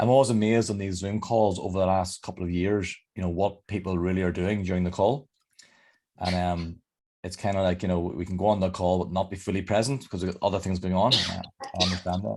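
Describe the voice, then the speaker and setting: A man with a Northern Irish accent talks at a very fast pace in a very deep, low pitch, his intonation fairly even. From Northern Ireland. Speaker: leadership development coach. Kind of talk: interactive online workshop talk. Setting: video call.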